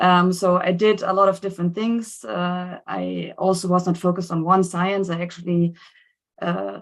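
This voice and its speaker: A woman talks with a German accent at a moderate pace and fairly low pitch. Her intonation is monotone and flat, and the background is quiet. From Germany. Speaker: scientist. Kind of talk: seminar talk.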